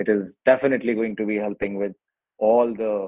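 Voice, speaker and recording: A man with an Indian accent speaks at a fairly low pitch. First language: Hindi. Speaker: online workshop presenter. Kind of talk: tutorial. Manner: hesitant, many fillers.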